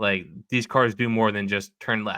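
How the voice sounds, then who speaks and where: Using a New England accent, a man speaks at a moderate pace and a fairly low pitch with fairly even intonation. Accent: Yankee. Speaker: podcast host. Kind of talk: casual chat.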